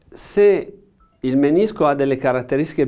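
Against a quiet background, a man speaks in a dark, mellow tone. His intonation is lively. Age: 60s. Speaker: orthopaedic knee surgeon, professor; professor. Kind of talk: expert interview explanation. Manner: halting, many fillers and repetitions. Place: studio.

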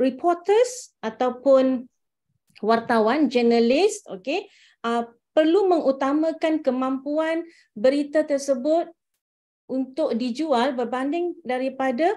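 The tone is dark and mellow, with lively intonation. The pace is fairly slow. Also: woman, quiet background. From Malaysia. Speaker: visiting university lecturer. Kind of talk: online lecture. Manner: hesitant, many fillers.

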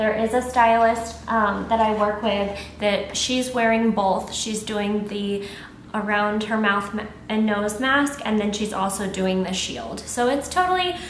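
A woman talks at a fairly slow pace. The room echo is audible, with light background noise. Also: ordinary pitch variation. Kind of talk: casual vlog tutorial. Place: shop.

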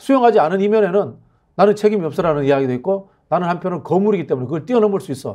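Against a quiet background, the speaker's dark, mellow voice moves at a very fast pace with lively intonation. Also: man, high pitch for a man. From South Korea. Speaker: political commentator. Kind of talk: political talk show interview. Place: studio. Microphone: lapel.

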